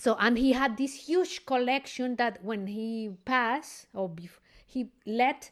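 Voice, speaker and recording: In a plain, everyday voice, a woman speaks at a fairly slow pace with ordinary pitch variation, on a very clean recording with a silent background. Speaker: podcast host and classical singer. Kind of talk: interview conversation.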